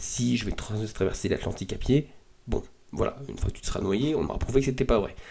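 Somewhat breathy and dark, mellow in tone, a man's voice moves at a fairly quick pace with ordinary pitch variation. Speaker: podcast host. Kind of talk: solo podcast monologue. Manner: casual, hesitant with many fillers.

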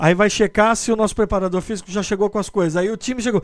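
A man speaks with fairly even intonation. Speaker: podcast host and sports journalist. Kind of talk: casual chat.

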